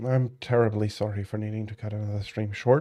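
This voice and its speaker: Music plays in the background while a man speaks at a fairly low pitch and moderate pace. His intonation is flat and monotone. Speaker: game streamer. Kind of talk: casual chat.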